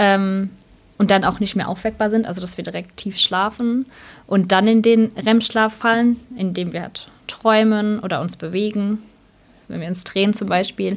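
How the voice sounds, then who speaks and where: A woman's plain, everyday voice at medium pitch, with fairly even intonation and a moderate pace. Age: 30s. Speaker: sleep consultant and social worker. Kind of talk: casual interview.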